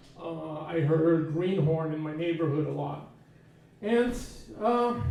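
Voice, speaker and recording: A man with a fairly high pitch speaks very slowly amid noticeable background noise and audible room echo. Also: ordinary pitch variation. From US, Portuguese immigrant family. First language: Portuguese. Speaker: inspirational speaker. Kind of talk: personal storytelling talk.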